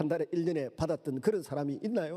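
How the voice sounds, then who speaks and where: With a Gyeongsang accent, a man's dark, mellow voice makes very wide pitch swings in a very clean recording with a silent background. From Gyeongsang region, South Korea. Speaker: pastor. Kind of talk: sermon. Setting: church.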